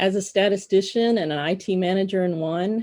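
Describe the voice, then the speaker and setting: At a moderate pace, a woman speaks with a Texan accent and a dark, mellow tone. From Southeast Texas (Beaumont, Port Arthur area). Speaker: telecom expense consultant. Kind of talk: personal introduction presentation.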